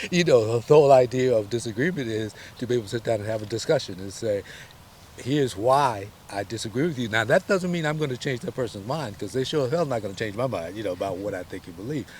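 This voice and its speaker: In an American accent, the voice comes out somewhat breathy and at a very fast pace, with lively intonation. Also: man, medium pitch for a man. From US South (Selma, Alabama). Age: 70s. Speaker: voter interviewee. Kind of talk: interview.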